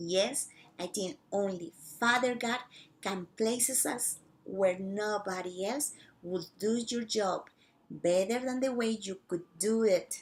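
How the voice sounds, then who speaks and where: Speaking at a very slow pace, a woman with a non-native accent has a medium pitch and ordinary pitch variation. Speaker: missionary teacher. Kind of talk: casual talk to camera.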